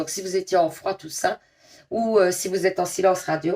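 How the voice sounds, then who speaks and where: A woman with a strong Liège accent speaks at a medium pitch. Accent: strong Liège Belgian French. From Belgium, Liège. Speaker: tarot card reader. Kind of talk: tarot reading to viewers; casual chat. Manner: casual, hesitant with many fillers.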